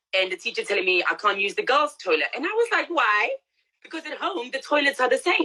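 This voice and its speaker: A woman speaks in a raised, projected voice with a bright, sharp tone at a fairly quick pace. Her pitch is high and swings very widely. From South Africa, Pretoria (moved to UK at eleven). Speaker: transgender activist. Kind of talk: interview on live stream. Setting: Instagram live video call.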